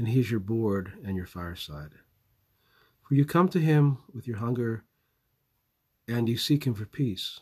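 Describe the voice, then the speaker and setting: A man with a Southwestern US accent at a medium pitch, somewhat breathy, at a fairly slow pace with long, frequent pauses, on a very clean recording with a silent background. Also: lively intonation. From US Southwest. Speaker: podcaster. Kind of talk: eulogy, personal tribute. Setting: away from home, makeshift recording.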